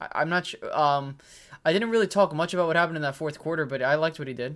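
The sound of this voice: A fairly bright voice talks at a fast pace in a very clean recording with a silent background. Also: man, fairly high pitch for a man, ordinary pitch variation.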